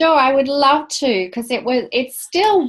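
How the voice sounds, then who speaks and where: A woman with an Australian accent talks at a very slow pace in a high voice. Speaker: spiritual author, former park ranger. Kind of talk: interview.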